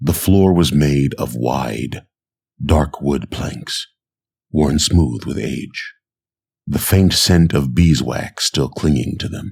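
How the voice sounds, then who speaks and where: Speaking at a very slow pace, a man uses a very deep, low pitch with ordinary pitch variation. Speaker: narrator. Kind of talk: sleep story. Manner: soft-spoken, slow.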